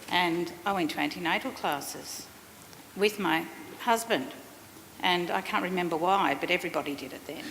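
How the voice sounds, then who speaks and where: A woman at a fairly low pitch and moderate pace, with ordinary pitch variation and long, frequent pauses. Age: 50s. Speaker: workshop participant. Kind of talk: audience comment.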